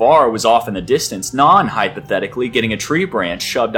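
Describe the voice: What you hear is plain reading aloud.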